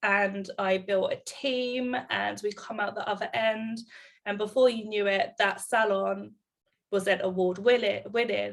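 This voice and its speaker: With an English accent, a woman speaks at a medium pitch, her pitch varying in an ordinary way. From England, Bedfordshire. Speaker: salon owner and business mentor. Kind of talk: casual chat.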